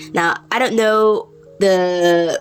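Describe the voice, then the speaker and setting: Over background music, a woman with a medium pitch speaks very slowly with fairly even intonation. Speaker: YouTube commentator. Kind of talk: unscripted rant commentary. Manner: halting, with pauses and fillers.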